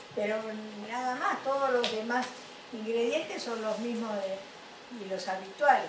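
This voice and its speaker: A woman's fairly high voice at a fairly slow pace, with long, frequent pauses, audible room echo and noticeable background noise. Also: ordinary pitch variation. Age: 80s+. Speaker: panel participant. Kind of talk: panel discussion.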